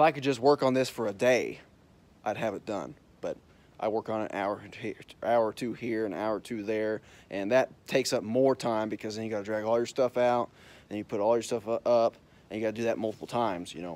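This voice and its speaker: A man speaks at a fairly quick pace with fairly even intonation, in a dry sound with no echo. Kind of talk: casual vlog chat. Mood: relaxed, content. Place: open country. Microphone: phone near.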